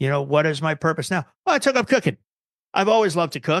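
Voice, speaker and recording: Talking at a very fast pace in an animated tone, a man with an American accent and fairly high pitch is heard in a dry, close sound with no echo. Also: quiet background. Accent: New Jersey accent, came back after fading. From New Jersey. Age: 50s. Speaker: guitar tech and production manager. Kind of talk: podcast interview.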